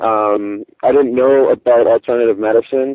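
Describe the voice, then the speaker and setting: The man's voice sits at a medium pitch, delivered with a flat, monotone intonation. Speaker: cancer survivor. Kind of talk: interview. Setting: phone call. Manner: halting.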